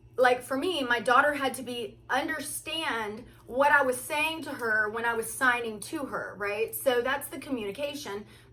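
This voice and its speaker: A woman's high voice at a moderate pace, with ordinary pitch variation and noticeable background noise. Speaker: spiritual content creator. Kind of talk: casual chat. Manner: halting.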